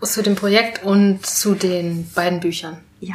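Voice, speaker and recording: Medium-pitched female voice with monotone, flat intonation amid noticeable background noise. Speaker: podcast host. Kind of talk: casual interview. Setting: on location in Neukölln.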